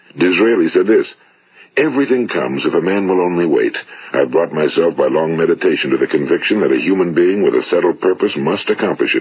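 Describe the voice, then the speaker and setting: A man with an American accent talks at a very fast pace. His loudness stays very even, with noticeable background noise behind him. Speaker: motivational speaker. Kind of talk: motivational spoken-word talk. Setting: vintage broadcast recording.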